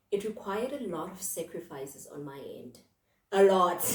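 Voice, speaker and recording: A woman speaks at a fairly slow pace with a medium pitch. She has an unremarkable speaking voice. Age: 20s. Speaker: podcast host and mental health counselor. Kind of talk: casual monologue podcast. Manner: conversational, with fillers.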